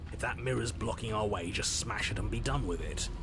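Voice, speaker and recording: A man in a put-on character voice at a fairly quick pace, over loud background noise. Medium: voice reel. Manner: blunt, forceful.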